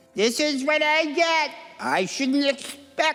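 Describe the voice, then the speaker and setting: Putting on a character voice, a woman speaks fairly slowly in a high, whiny voice with a whiny tone and ordinary pitch variation. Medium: cartoon. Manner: whiny, kvetching.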